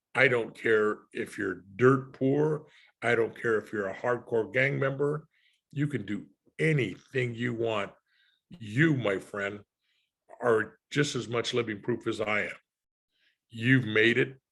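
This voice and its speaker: A medium-pitched man speaking at a very slow pace, with long, frequent pauses and ordinary pitch variation, on a very clean recording, silent background. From Los Angeles, California. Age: 70s. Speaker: retired homicide detective. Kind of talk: conversational interview.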